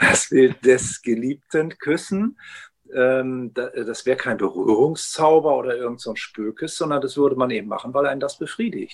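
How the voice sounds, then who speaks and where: An unremarkable speaking voice at a moderate pace, with ordinary pitch variation, carries the clip. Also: man, fairly high pitch for a man. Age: 60s. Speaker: ethnologist, retired professor. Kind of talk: interview conversation. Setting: video call.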